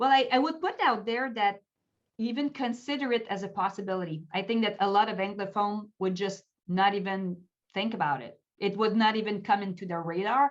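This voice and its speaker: In a Quebec accent, a woman talks at a fairly quick pace with a medium pitch and ordinary pitch variation. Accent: Québécois French accent, fairly strong. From Quebec, Canada. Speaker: pastor and life coach. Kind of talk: interview.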